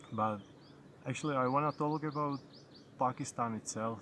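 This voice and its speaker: In a Czech accent, a man talks with fairly even intonation. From Czech Republic. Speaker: travel vlogger. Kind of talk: casual vlog monologue. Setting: outdoors. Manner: halting, with repetitions.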